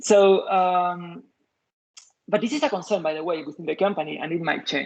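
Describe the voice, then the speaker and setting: With a Spanish accent, a man speaks at a moderate pace in a high pitch with ordinary pitch variation. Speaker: software engineer, invited lecturer. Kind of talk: Q&A after a lecture. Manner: halting, many fillers and restarts.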